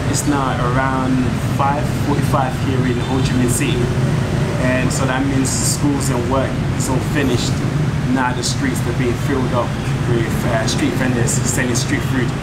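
Against loud background noise, a man speaks at a fairly slow pace with long, frequent pauses. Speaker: travel vlogger. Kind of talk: casual vlog chat. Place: street. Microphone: phone near.

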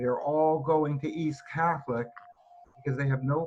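Amid noticeable background noise, a man with a New England accent talks at a moderate pace with fairly high pitch and fairly even intonation. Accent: New England American. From Connecticut. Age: 70s. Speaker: resident speaking at public hearing. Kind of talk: public comment. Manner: halting.

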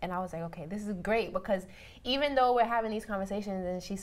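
With a New York accent, the speaker races at a very fast pace in an animated tone, pitch varying in an ordinary way. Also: woman. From Benin, raised in Harlem, New York. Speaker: podcast guest. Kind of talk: casual panel chat. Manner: casual, animated, lots of "like". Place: studio.

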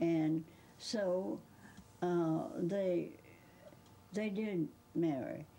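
Very slow speech with an American accent and long, frequent pauses. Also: woman, fairly low pitch for a woman, ordinary pitch variation. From Georgia, US. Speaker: interviewee recalling a famous author; interviewee. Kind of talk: interview reminiscence. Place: home room.

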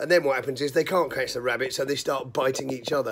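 A man speaks with a British accent. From UK. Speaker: video blogger. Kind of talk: angry rant. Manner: furious, swearing-heavy, scolding. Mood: exasperated, angry at rioters. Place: home room. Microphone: phone near.

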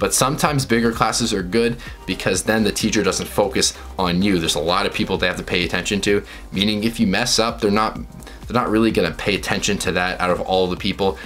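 With faint music in the background, a man talks very fast at a fairly low pitch, keeping his loudness very even, with ordinary pitch variation. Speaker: vlogger. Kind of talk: casual vlog chat giving tips. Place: home room.

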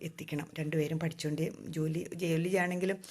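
A woman's very deep, low voice keeps a fairly even intonation on a very clean recording with a silent background. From Kerala, Thodupuzha (Idukki). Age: 50s. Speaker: YouTuber and housewife. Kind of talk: Q&A vlog, casual talk to camera. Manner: conversational, with pauses.

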